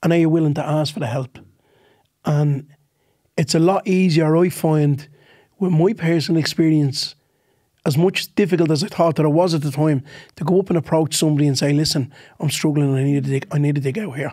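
With a quiet background, a man with a fairly high pitch talks at a fairly quick pace, his intonation fairly even and his speech marked by long, frequent pauses. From Ireland. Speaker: comedian. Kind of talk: casual chat. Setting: studio. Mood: earnest, reflective. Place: studio. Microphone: studio mic.

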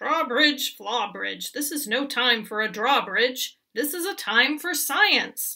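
In a put-on character voice, a woman speaks slowly at a fairly high pitch with a bright, sharp tone, lively intonation and vocal fry.

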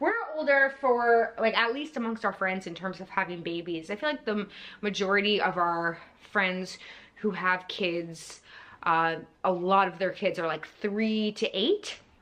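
A bright, sharp tone at a fairly slow pace, with ordinary pitch variation. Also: woman, medium pitch for a woman. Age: 40s. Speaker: YouTuber. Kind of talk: casual storytime monologue. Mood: warm, reflective. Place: home room. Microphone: phone near.

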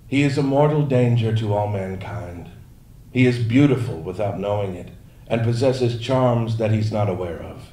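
In audible room echo, a man with a dark, mellow, somewhat breathy voice speaks in a theatrical tone at a moderate pace with ordinary pitch variation. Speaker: audiobook narrator reading fan-submitted text to a convention audience. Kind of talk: mock-romantic poetry reading performed aloud for laughs, interrupted by his own asides. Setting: stage with live audience at a fan event. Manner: theatrical, overwrought love-poem delivery played straight for comedy; breaks into laughter and ad-libbed asides between lines. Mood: mock-solemn, deadpan humor. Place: stage. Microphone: podium.

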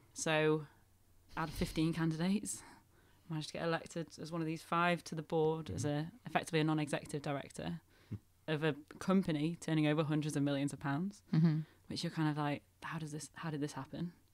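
Delivering her words at a very fast pace, a woman keeps fairly even intonation in a very deep, low pitch. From Northern England. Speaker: Christmas decorator. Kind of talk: interview answer.

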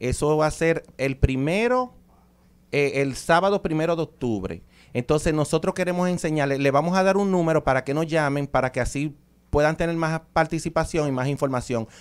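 A man with a Dominican accent speaks at a moderate pace with ordinary pitch variation. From Dominican Republic. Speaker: chiropractor and ancestral medicine practitioner. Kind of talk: promotional interview chat. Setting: radio studio. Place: studio. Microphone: studio mic.

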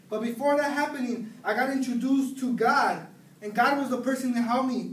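A man with an American accent speaks at a fairly quick pace, in an extremely high pitch. His intonation is monotone and flat, and the room echo is audible. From US West Coast, San Gabriel Valley, California; California. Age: 20s. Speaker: college student; speaker. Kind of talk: personal testimony. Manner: halting. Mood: earnest, reflective. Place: classroom. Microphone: camera far.

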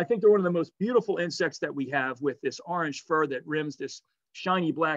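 A man talks very fast in an enthusiastic tone against a quiet background. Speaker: naturalist presenter. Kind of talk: nature documentary narration. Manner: animated, vivid storytelling; conversational, enthusiastic. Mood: enthusiastic, warm. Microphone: webcam.

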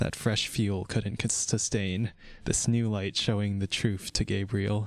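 Fairly even intonation in a natural reading voice

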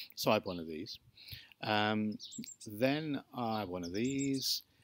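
At a moderate pace, the voice sounds dry with no echo, with light background noise. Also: man. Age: 60s. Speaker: YouTuber vlogging about his electric car. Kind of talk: casual video diary monologue. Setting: in a barn. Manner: hesitant with many fillers. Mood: reflective, mild rant. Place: garden. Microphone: phone near.

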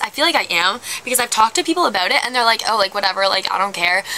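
A woman talks at a very fast pace with very wide pitch swings. Light background noise is present. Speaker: vlogger. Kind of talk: casual vlog chat. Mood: wistful, playfully dramatic. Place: garden. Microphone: phone near.

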